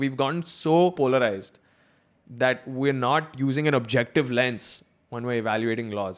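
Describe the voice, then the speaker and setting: A man with a Mumbai accent speaks at a moderate pace with ordinary pitch variation. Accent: South Bombay Indian English. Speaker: podcast host.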